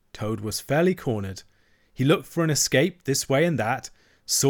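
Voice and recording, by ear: The speaker is reading aloud in a natural voice, the intonation lively.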